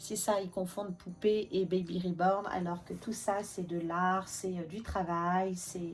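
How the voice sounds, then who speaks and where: The pace is very slow. The voice is somewhat breathy. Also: woman. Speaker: reborn doll maker and vlogger. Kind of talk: casual vlog chat. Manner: chatty, hesitant with many fillers.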